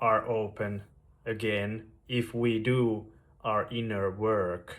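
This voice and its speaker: A man talks with a Finnish accent. His intonation is monotone and flat. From Finland, Veteli, western Finland. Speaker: YouTuber sharing spiritual story. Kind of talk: personal testimony monologue. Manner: slow, with long pauses; halting, repeats words.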